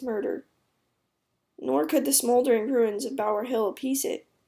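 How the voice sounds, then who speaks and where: A woman talks at a fairly quick pace in a high voice with a dark, mellow tone. The recording is very clean, with a silent background. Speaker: history video narrator. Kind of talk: history narration. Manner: casual, conversational.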